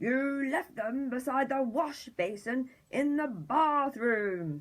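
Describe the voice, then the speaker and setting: A female-sounding, put-on character voice bellows at a high pitch. The pace is very slow. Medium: read story. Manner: roaring.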